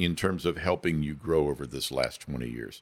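Vocal fry runs through this man's voice. He speaks at a moderate pace. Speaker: podcast host. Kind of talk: interview.

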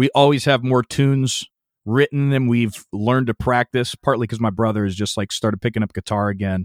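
Fairly quick and in an American accent, a man talks in an unremarkable speaking voice at medium pitch with ordinary pitch variation. The recording is very clean, with a silent background. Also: dry, close sound with no echo. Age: 30s. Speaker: metal bassist. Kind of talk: casual interview.

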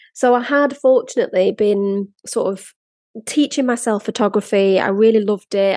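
At a moderate pace, a woman speaks at a fairly high pitch in a dark, mellow tone with ordinary pitch variation, the sound dry and close with no echo. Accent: Lancashire. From northern England, Blackpool. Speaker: podcast host and brand photographer. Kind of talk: personal storytelling monologue.

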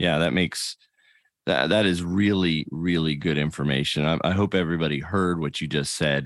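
A man's very deep, low voice at a moderate pace, with very even loudness. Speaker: podcast host, church A/V ministry director. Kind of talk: interview podcast host. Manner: upbeat, friendly.

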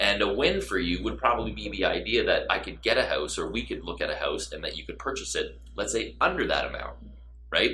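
A very fast man's voice in a Canadian accent, with audible room echo. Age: 30s. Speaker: real estate broker. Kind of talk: interview.

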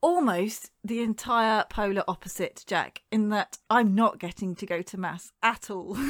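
With a British accent, a woman speaks at a fairly slow pace with hardly any pauses, using a fairly high pitch and ordinary pitch variation, on a very clean recording with a silent background and a dry, close sound with no echo. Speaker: podcast co-host.

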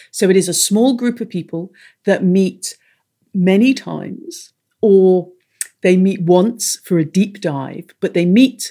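A woman's dark, mellow tone with an English accent and ordinary pitch variation. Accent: English-sounding accent with Irish roots. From Ireland. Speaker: business strategist and mastermind coach. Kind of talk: interview, explaining.

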